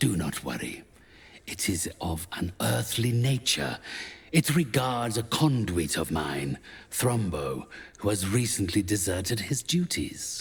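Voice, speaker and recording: A man does a put-on character voice at a fairly low pitch and a fairly slow pace. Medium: video game. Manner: formal, condescending.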